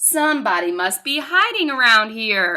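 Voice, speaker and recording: In a put-on character voice, the speaker moves at a moderate pace through very wide pitch swings. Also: woman. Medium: read story.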